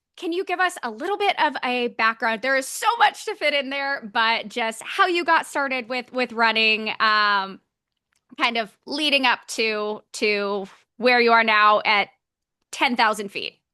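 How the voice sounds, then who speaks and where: Her high voice is raised and projected, bright and sharp in tone, with very wide pitch swings at a fairly slow pace, and the sound is dry and close with no echo. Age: 30s. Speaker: podcast host. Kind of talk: interview.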